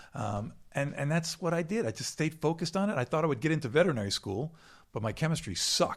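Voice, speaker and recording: Very fast, lively speech from a man with a fairly high pitch, vocal fry and an American accent, on a very clean recording with a silent background. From New York City. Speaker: wildlife expert. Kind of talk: casual chat. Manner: animated.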